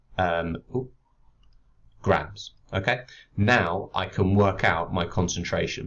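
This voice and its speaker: A man with a British accent and a very deep, low pitch, at a very slow pace with long, frequent pauses. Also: ordinary pitch variation. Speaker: chemistry teacher. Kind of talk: tutorial.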